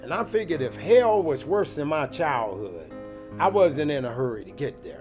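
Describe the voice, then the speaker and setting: Over music in the background, a man with a fairly high pitch speaks at a moderate pace, his pitch swinging very widely. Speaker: cafe and speakeasy owner. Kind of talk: documentary storytelling. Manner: poetic, comedic and direct.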